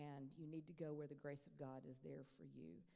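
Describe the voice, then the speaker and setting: A woman speaks with a dark, mellow tone. Audible room echo hangs around her voice. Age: 60s. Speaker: professor, Pentecostal scholar. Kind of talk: lecture Q&A. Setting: chapel. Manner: conversational, with fillers.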